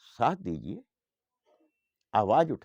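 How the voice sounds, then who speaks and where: A man speaks with vocal fry over a quiet background. The sound is dry and close, with no echo. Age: 70s. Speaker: men's rights activist. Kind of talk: impassioned appeal to viewers. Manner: forceful, exhorting.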